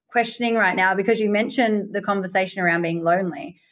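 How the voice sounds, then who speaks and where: A woman's medium-pitched voice in an Australian accent, with fairly even intonation. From Perth, Western Australia. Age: 30s. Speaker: podcast host and life coach. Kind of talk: casual interview chat.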